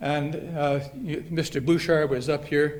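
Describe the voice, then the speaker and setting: With a Canadian Prairie accent, a man speaks at a fairly high pitch. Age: 70s. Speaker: hall of fame inductee, retired softball player. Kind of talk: acceptance speech. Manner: halting.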